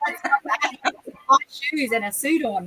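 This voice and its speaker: Raising and projecting her high voice, a woman with an Australian accent speaks fairly slowly with lively intonation in a dry, close sound with no echo. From Queensland, Australia (Noosa Shire). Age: 50s. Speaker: horse trainer. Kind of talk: interview.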